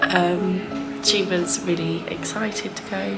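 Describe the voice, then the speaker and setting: A woman speaks over loud music playing in the background. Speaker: parent vlogger. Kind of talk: casual vlog chat. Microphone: phone near.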